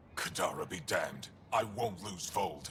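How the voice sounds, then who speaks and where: A man growls through a put-on character voice at a moderate pace. Background noise is clearly heard. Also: fairly low pitch for a man. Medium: video game. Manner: curt, guarded.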